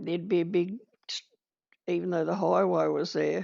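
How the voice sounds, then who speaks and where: This woman speaks with an Australian accent. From Kaniva, Victoria, Australia. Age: 80s+. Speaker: retired midwife, community leader. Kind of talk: oral history interview answer.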